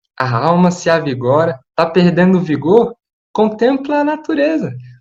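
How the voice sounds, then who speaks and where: A man speaks at a high pitch for a man, with audible room echo. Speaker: preacher. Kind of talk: sermon.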